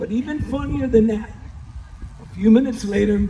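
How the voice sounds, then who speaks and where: Against noticeable background noise, a man with an American accent speaks at a high pitch and a moderate pace. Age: 60s. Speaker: former high school baseball player. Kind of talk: banquet speech.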